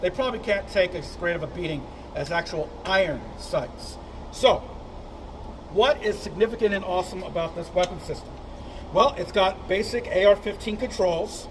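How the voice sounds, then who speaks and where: A loud man's voice, high-pitched for a man, at a moderate pace with ordinary pitch variation over noticeable background noise. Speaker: firearms reviewer and instructor. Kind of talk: product review. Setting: outdoor shooting range.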